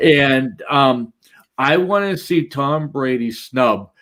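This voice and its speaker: A man with a Boston accent talks in an animated tone with lively intonation. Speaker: fantasy football podcast host. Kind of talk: casual chat.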